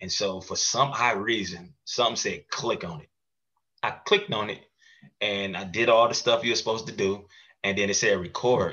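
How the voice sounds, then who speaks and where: An unremarkable speaking voice from a man, medium in pitch, with ordinary pitch variation, big swings in loudness, and a moderate pace. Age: 30s. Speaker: mental health podcast host and advocate. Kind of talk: casual interview chat.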